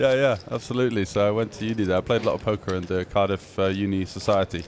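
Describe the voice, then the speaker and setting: Very fast speech comes from a man with a fairly low pitch and fairly even intonation. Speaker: poker commentator. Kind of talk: live commentary.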